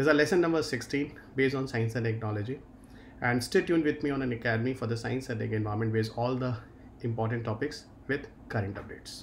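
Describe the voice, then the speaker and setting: Over light background noise, a somewhat breathy man speaks at a very fast pace. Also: ordinary pitch variation. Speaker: exam-prep teacher. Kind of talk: lecture. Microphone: webcam.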